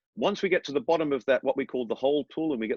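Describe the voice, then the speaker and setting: Talking very fast with lively intonation, a man with an Australian accent uses a fairly high pitch. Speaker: airline training captain. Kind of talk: interview.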